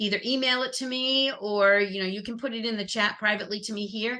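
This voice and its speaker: Her voice is loud, with a bright, sharp tone. The woman has a fairly high pitch and ordinary pitch variation. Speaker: customer service trainer. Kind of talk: webinar presentation. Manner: upbeat.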